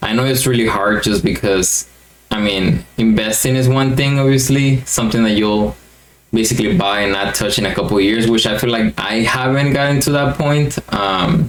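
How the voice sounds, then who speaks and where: Over noticeable background noise, a man with a Mexican accent keeps his loudness very even and his pitch variation ordinary. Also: medium pitch for a man, moderate pace. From Mexico. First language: Spanish. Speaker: YouTuber, card collector. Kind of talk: casual vlog monologue. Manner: hesitant with fillers.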